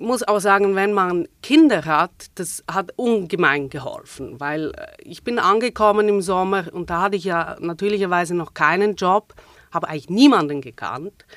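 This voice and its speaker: A woman speaks with a Swiss German accent and lively intonation. Her loudness swings widely. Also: medium pitch for a woman, moderate pace. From Switzerland. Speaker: theater manager. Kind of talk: casual interview.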